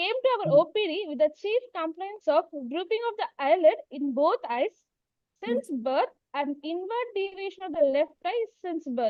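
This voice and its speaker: With an extremely high pitch, a woman's voice swings very widely up and down. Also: moderate pace. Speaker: medical postgraduate student. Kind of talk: case presentation. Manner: too quiet. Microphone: far from the mic.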